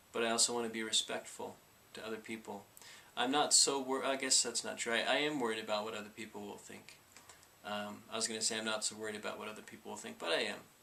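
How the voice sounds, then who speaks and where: A man at a medium pitch, talking at a very fast pace with fairly even intonation over noticeable background noise. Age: 30s. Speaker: vlogger with Tourette syndrome. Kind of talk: personal testimony vlog. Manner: halting, with repetitions and fillers; vocal tics.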